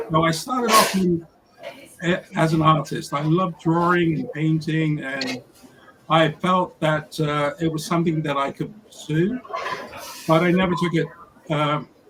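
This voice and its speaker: Over noticeable background noise, a man in an American accent talks at a moderate pace with a fairly high pitch and fairly even intonation. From England, South London. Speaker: photographer. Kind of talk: interview.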